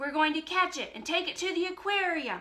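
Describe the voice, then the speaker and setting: Using a put-on character voice, a woman talks at a fairly quick pace in an extremely high pitch with big swings in loudness. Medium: read story.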